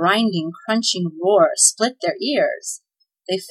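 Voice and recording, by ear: A natural voice reading aloud, with quiet all around it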